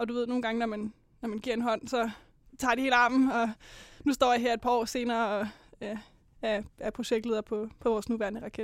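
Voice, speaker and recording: On a very clean recording with a silent background, a woman talks at a fairly high pitch and fairly quick pace in a monotone, flat intonation, with long, frequent pauses. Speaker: student rocket builder. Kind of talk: interview. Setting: studio.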